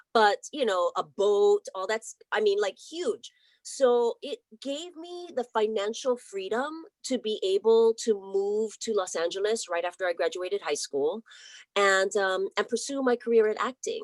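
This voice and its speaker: With a Hawaiian accent, a woman speaks fairly slowly at a fairly high pitch with lively intonation, the sound dry and close with no echo. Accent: Hawaiian American. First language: Hawaiian Pidgin. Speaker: actress. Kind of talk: casual interview chat.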